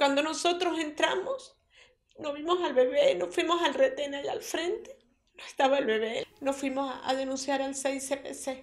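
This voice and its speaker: Against a quiet background, a woman with a high-pitched voice speaks with big swings in loudness. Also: lively intonation, fairly slow pace. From Venezuelan Andes, Mérida state. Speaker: grandmother of a kidnapped baby. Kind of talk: public appeal. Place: home room.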